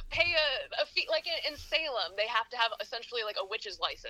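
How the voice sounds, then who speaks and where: Someone speaks with an American accent over music in the background. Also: woman. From Pennsylvania, US. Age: 20s. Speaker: metaphysical shop owner and tarot reader. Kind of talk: casual interview chat.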